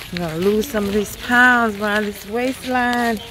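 Noticeable background noise surrounds a woman speaking at a very slow pace. The sound is dry, with no echo. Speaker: vlogger. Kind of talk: casual vlog chat. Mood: cheerful, upbeat. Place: forest. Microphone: phone near.

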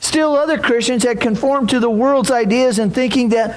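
A man's extremely high voice at a moderate pace, with ordinary pitch variation and audible room echo.

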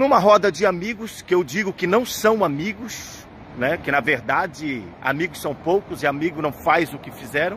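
A man talks at a moderate pace, the sound dry with no echo and light background noise. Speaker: pastor. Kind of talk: protest vlog address to believers. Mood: indignant, emphatic. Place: street. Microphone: phone near.

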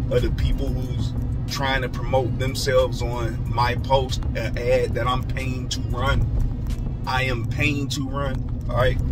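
Clear music plays in the background. Over it, a man speaks at a fairly slow pace. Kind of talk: casual vlog chat. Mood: mildly annoyed, advising. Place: car. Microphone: phone near.

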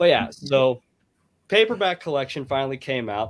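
Speaking at a moderate pace, a man with a medium pitch uses lively intonation. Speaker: fiction writer. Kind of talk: casual chat. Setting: video call. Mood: enthusiastic, relieved. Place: home room. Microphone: video call.

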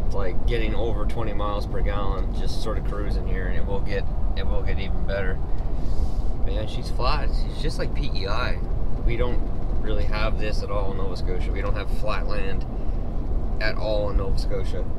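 Over loud background noise and with a dry sound with no echo, the speaker goes at a moderate pace with long, frequent pauses. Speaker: driver vlogger. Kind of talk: casual vlog chat. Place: car. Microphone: camera far.

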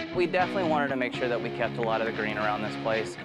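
Loud music plays in the background behind a man. His voice has a dry sound with no echo. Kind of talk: interview answer. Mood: upbeat, proud promotional. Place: garden. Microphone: lapel.

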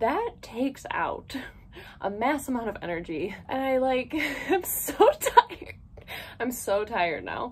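Her pitch high and swinging very widely, a woman speaks at a fairly slow pace. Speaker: haul vlogger. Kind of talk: casual vlog chat. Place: home room. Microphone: phone near.

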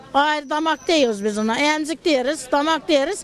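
A woman's high-pitched, fairly slow speech, dry with no echo, with crowd noise in the background. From Turkey, Denizli (Teke region, Yörük); Denizli, Turkey. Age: 70s. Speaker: folk musician. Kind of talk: interview. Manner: casual. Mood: earnest, wistful about her craft. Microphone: handheld.

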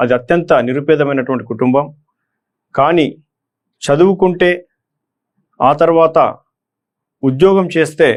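With a fairly high pitch, ordinary pitch variation and very even loudness, a man speaks. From Telangana, Nizamabad district (Armoor). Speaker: retired police officer turned election candidate. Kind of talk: motivational address to exam candidates. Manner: halting.

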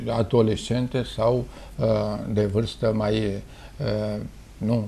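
Speaking very slowly, a man delivers his words. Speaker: dermatologist, professor. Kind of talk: interview answer. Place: office. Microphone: lapel.

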